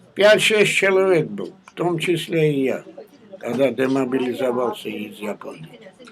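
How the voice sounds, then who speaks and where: A man speaks at a medium pitch and a fairly slow pace, with very wide swings in pitch. Noticeable background noise runs underneath. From Georgia. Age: 80s+. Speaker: war veteran. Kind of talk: interview answer.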